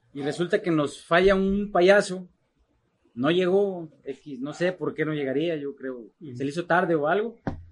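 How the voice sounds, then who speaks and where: A man's high-pitched voice at a fairly slow pace, with ordinary pitch variation and big swings in loudness. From Mexico, Guadalajara, Jalisco. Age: 40s. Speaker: charro rider. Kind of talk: casual interview. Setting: in person, Monterrey.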